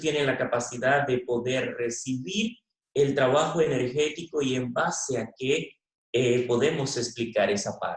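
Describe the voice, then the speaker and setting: A man talks in a normal speaking voice, with a fairly high pitch and ordinary pitch variation. His pace is moderate. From Venezuela. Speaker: veterinarian. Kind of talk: conference talk.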